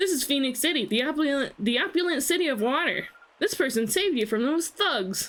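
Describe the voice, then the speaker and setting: Using a put-on character voice, a woman speaks high-pitched at a fairly quick pace, with very wide pitch swings yet very even loudness. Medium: game stream.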